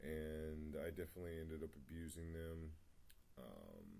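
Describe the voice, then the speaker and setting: A man with a very deep, low pitch mumbles at a moderate pace in a dark, mellow, somewhat breathy tone, with audible room echo. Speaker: spiritual vlogger. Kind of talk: personal testimony. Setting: home meditation spot. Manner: mumbling; hesitant, many fillers.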